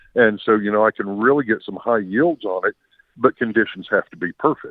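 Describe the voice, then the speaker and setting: Speaking at a fairly quick pace with an American accent, a man has an unremarkable speaking voice, fairly low in pitch, with ordinary pitch variation. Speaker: farmer caller. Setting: phone call.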